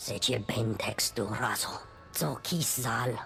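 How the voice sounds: In a put-on character voice with a fairly bright tone and vocal fry, the speaker goes at a slow pace with ordinary pitch variation while faint music plays in the background. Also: woman, extremely low pitch for a woman.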